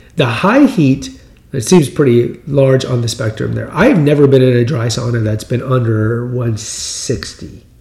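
Someone with an American accent speaks at a fairly slow pace against noticeable background noise. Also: man, medium pitch for a man, ordinary pitch variation. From US Texas. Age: 50s. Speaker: podcast host. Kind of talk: solo monologue on health news. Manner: conversational, rambling, repeats words.

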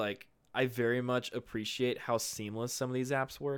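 An unremarkable speaking voice from a man, medium-pitched, moderately paced, its intonation fairly even. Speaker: phone retail employee podcaster. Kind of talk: casual chat.

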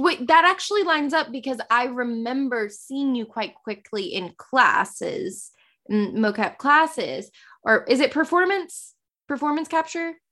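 Projecting a raised voice over a quiet background, a woman speaks at a fairly slow pace with a high pitch, a bright, sharp tone and very wide pitch swings. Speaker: podcast host. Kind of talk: casual interview chat.

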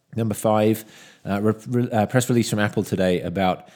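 With a British accent, a man speaks at a fairly quick pace and fairly low pitch on a very clean recording with a silent background. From UK. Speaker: tech analyst podcast host. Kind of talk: solo news commentary.

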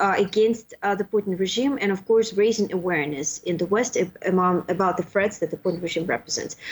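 The speaker has a Russian accent. The pace is fairly quick. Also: woman. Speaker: political scientist, postdoctoral fellow. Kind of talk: interview podcast. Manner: halting with frequent fillers.

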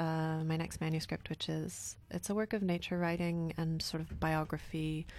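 In a normal speaking voice, a woman with a Canadian accent talks at a fairly low pitch with hardly any pauses, on a very clean recording with a silent background. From Canada. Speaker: writer and editor. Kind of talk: casual interview. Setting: studio.

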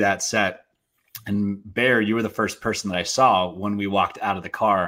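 A plain, everyday voice from a man, fairly low in pitch and fairly quick in pace, on a very clean recording with a silent background. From Portland, Oregon. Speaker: actor and filmmaker. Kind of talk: casual interview.

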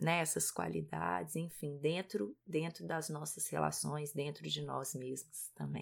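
On a very clean recording with a silent background, a woman speaks at a fairly slow pace in a Minas Gerais accent. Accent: Minas Gerais (mineiro). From Brazil, Minas Gerais. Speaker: podcast co-host, parenting educator, psychologist. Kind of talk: casual podcast talk.

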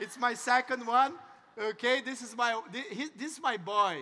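A man speaks in a Portuguese accent at an extremely high pitch. His voice is raised and projected. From Brazil. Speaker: network marketing entrepreneur, motivational speaker. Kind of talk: motivational talk. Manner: halting.

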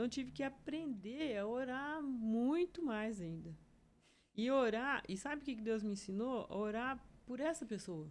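A woman with a high pitch and lively intonation speaks at a fairly slow pace. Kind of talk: testimony.

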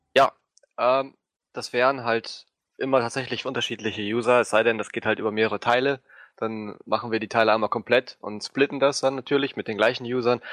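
A man talks fairly quickly at a medium pitch with monotone, flat intonation. The sound is dry and close with no echo, and the background is quiet. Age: 20s. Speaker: gaming video editor. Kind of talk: casual chat.

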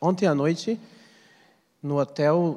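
With a dark, mellow tone, a man talks at a fairly slow pace and varies his pitch in an ordinary way. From Brazil, Pará (Amazon region). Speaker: activist and author on Amazon politics. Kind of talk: lecture. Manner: seated.

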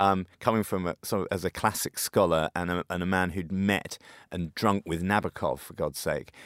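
Fairly quick speech in a British accent on a very clean recording with a silent background. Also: man, dry, close sound with no echo. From UK. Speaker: magazine editor. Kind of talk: radio discussion.

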